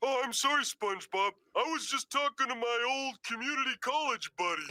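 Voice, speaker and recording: The voice is high-pitched. It is a cartoonish character voice. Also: fairly quick pace. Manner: oblivious.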